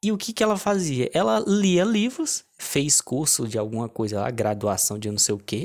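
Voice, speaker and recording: On a very clean recording with a silent background, a man at a medium pitch speaks at a moderate pace with hardly any pauses and very wide pitch swings. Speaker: online business coach. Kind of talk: casual vlog monologue. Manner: halting, many restarts.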